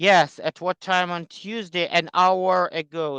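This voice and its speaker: Someone with a non-native accent speaks at a fairly slow pace in a bright, sharp tone. The sound is dry and close, with no echo. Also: man, quiet background. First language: not English. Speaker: workshop teacher. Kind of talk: online class meeting. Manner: halting, many fillers.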